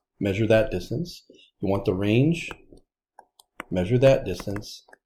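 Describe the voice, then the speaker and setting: This man's medium-pitched voice is dark and mellow, somewhat breathy, with ordinary pitch variation. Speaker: statistics teacher. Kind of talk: recorded lecture.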